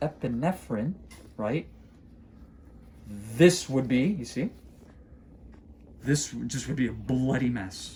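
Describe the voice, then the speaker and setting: Over light background noise, a man talks at a fairly slow pace with lively intonation. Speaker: podiatrist. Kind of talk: clinical procedure demonstration. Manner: loud; animated. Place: office. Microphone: phone near.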